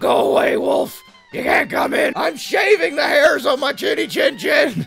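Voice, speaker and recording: Over faint background music, a man performs a put-on character voice. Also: moderate pace. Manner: shouting, defiant.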